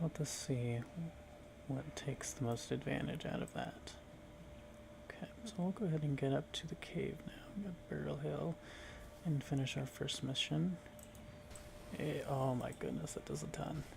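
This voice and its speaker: A soft-spoken voice at a moderate pace, with long, frequent pauses and noticeable background noise. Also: man. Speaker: ASMR gaming content creator. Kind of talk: soft-spoken ASMR gameplay commentary.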